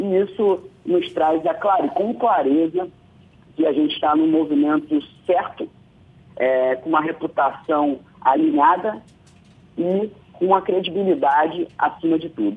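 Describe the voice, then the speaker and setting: Long, frequent pauses break up fairly slow speech with ordinary pitch variation. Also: man, high pitch for a man. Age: 30s. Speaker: media company executive. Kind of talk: radio interview. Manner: hesitant, many fillers.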